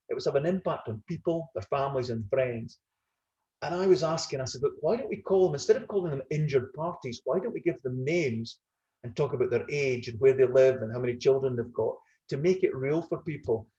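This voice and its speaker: Here a man with a Scottish accent talks at a very fast pace with lively intonation and a fairly high pitch. His tone is dark and mellow, and somewhat breathy. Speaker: retired business executive. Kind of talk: webinar panel discussion.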